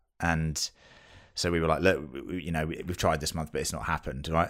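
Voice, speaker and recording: Very deep and low, a man's voice moves at a fairly quick pace in a British accent. The recording is very clean, with a silent background. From UK. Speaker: podcast co-host and new father. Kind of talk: casual chat.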